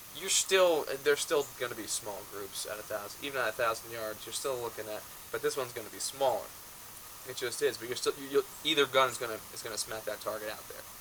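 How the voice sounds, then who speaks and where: Noticeable background noise sits under speech that runs at a fairly quick pace with ordinary pitch variation. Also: man, medium pitch for a man, big swings in loudness. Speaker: rifle shooter. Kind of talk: casual talk to camera.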